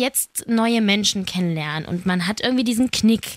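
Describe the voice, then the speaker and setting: A woman's speech carries ordinary pitch variation and proceeds at a moderate pace. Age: 20s. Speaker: podcast host. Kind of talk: casual chat.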